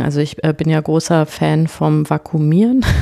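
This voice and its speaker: With a dark, mellow tone, a woman speaks at a moderate pace. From western Germany. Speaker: podcast co-host, parent. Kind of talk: casual chat.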